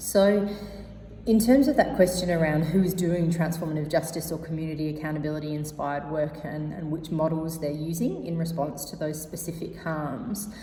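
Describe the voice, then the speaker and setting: A woman with an Australian accent speaks at a very deep, low pitch, her loudness swinging widely. The room echoes audibly, and there is noticeable background noise. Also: ordinary pitch variation. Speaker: activist and researcher panelist. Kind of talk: prepared conference talk. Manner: fast.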